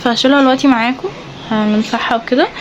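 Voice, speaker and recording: With an Egyptian accent, a woman talks very fast at a high pitch and fairly even intonation, against noticeable background noise. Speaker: beauty vlogger. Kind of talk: casual vlog talk to camera.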